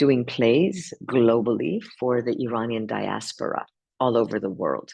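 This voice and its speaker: A woman's very deep, low voice with vocal fry, fairly slow and fairly even in intonation. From Los Angeles area, US, moved from Iran at ten. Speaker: actress. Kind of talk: interview. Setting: press junket.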